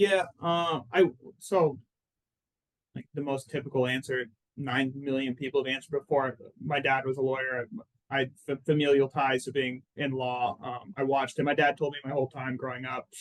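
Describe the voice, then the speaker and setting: A man with an American accent talks at a moderate pace in an unremarkable speaking voice. His pitch sits fairly high and his intonation stays fairly even. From Arizona, Phoenix. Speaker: personal injury lawyer. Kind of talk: casual interview chat.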